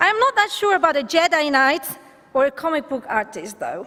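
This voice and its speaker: A woman speaks with a Catalan accent. Her pace is moderate. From Catalonia, Spain. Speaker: rabbinical student being ordained. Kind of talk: ordination speech.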